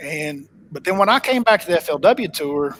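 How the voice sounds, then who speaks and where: A man talks at a moderate pace with a strong Oklahoma accent. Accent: thick Oklahoma. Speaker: professional bass angler. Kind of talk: casual interview chat. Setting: home office, live stream call.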